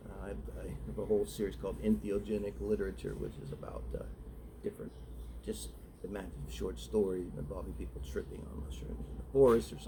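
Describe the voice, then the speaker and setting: A soft-spoken man's very deep, low voice in a dark, mellow tone, with vocal fry, very wide pitch swings, big swings in loudness, a very fast pace and audible room echo. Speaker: writer reading own short story. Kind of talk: casual talk then reading aloud. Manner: halting, many fillers.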